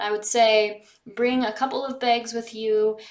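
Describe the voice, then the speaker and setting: A woman's monotone, flat delivery at a moderate pace, quiet background. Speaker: lifestyle vlogger. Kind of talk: casual vlog chat. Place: home room. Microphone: phone near.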